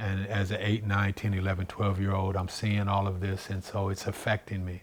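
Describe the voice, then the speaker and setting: This man's voice sits fairly low, with flat, monotone intonation, a moderate pace and a somewhat breathy quality. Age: 60s. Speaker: singer giving testimony. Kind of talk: testimony.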